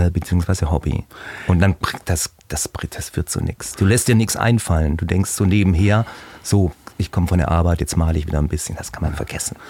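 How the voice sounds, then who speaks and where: A man talks at a moderate pace in a very deep, low voice with a dark, mellow tone, somewhat breathy, with ordinary pitch variation and a dry, close sound with no echo. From Heilbronn area, Baden-Württemberg. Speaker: painter. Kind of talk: casual interview chat.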